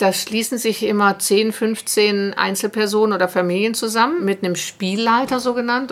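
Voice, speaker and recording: A normal speaking voice moves at a moderate pace, showing ordinary pitch variation. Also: woman. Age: 50s. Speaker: organisational development consultant. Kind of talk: interview.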